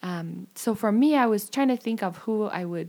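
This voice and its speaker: A woman speaks at a moderate pace. Her tone is dark and mellow. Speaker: returned missionary. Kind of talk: casual chat.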